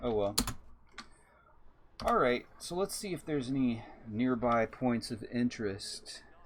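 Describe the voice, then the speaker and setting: A man with an American accent speaks at a fairly slow pace and medium pitch, with ordinary pitch variation. His speech contains long, frequent pauses. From Texas. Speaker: video game streamer. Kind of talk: live stream gameplay commentary. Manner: casual, conversational.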